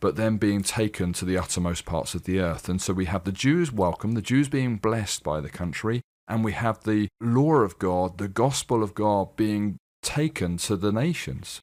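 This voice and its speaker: The speaker has a slight British accent, with lively intonation at a moderate pace. The recording is very clean, with a silent background. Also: man, fairly low pitch for a man. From UK. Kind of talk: radio interview. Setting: studio.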